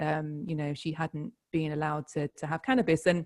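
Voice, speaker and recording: In a dry, close sound with no echo, a woman with a British accent speaks fairly quickly at a fairly low pitch. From UK. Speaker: author. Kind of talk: interview.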